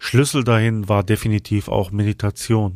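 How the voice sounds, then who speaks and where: A man speaks at a fairly low pitch in a soothing, calm tone with monotone, flat intonation. The sound is dry and close with no echo, a very clean recording with a silent background. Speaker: podcast host and flute player. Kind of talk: guided meditation. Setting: studio with flute music in background. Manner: slow, soothing, calm; soft-spoken, gentle.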